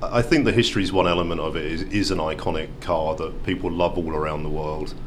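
With a British accent, a man keeps a fairly even intonation at a fairly quick pace over noticeable background noise. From UK. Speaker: car company executive. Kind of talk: interview. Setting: auto show.

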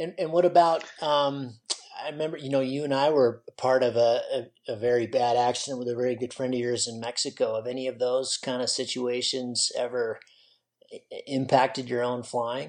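Here a man with an ordinary speaking voice talks at medium pitch and a moderate pace. His intonation stays fairly even. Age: 40s. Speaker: podcast host, paraglider pilot. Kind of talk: casual interview.

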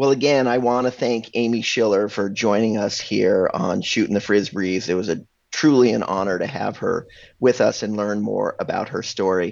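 A man talks at a moderate pace and medium pitch, with ordinary pitch variation. He has a plain, everyday voice. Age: 50s. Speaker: freestyle frisbee podcast co-host. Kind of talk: casual chat.

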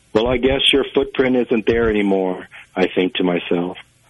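A man with an American accent speaks in an ordinary speaking voice, with ordinary pitch variation. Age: 30s. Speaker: magazine editor. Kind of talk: interview answers, then spoken-word poetry reading. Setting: phone call. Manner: measured, reflective; poem delivered in a slow, lyrical cadence.

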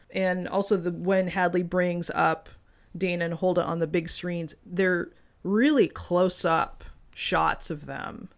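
In a very clean recording with a silent background, a woman speaks very slowly with fairly even intonation and a fairly low pitch. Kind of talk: casual chat.

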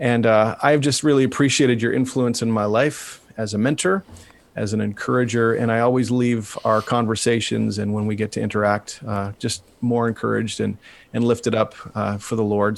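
With a plain, everyday voice and a Canadian accent, a man speaks fairly quickly at a medium pitch with fairly even intonation. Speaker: podcast host and pastor. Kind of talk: interview conversation.

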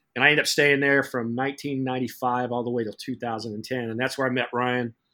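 Bright and sharp in tone, a man with an American accent speaks at a medium pitch and a fairly quick pace. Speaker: sports business professor. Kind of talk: casual interview chat.

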